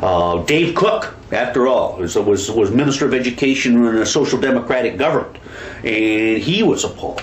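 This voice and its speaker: Heard with audible room echo, a man speaks at a fairly quick pace with lively intonation. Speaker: education historian; interviewee, former school trustee or commentator. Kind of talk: interview. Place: home room.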